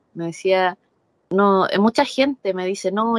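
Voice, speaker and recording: In a dry, close sound with no echo, a woman speaks with a Chilean accent. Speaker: professional wrestler. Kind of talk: interview. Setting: video call. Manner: animated.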